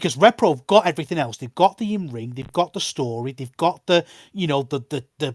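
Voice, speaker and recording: A man with a fairly high pitch speaks at a fairly quick pace with lively intonation and big swings in loudness, in a very clean recording with a silent background and a dry, close sound with no echo. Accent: northern English. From northern England. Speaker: wrestling podcast host. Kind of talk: casual chat. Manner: animated.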